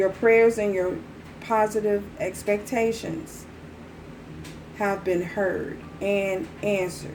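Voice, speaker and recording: Soft-spoken and very slow, a woman pauses long and often over noticeable background noise. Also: medium pitch for a woman. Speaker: tarot reader. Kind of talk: tarot reading. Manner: repetitive.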